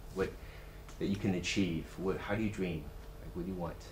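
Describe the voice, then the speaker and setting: A man speaks at a fairly quick pace. There is audible echo in the room. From US West Coast, Silicon Valley. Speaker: university executive, guest speaker. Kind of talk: talk to students. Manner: halting, many fillers.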